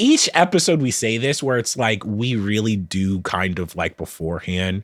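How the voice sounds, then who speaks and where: A man with an unremarkable speaking voice at fairly low pitch, moderate pace and lively intonation, in a very clean recording with a silent background. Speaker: podcast co-host. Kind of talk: casual chat.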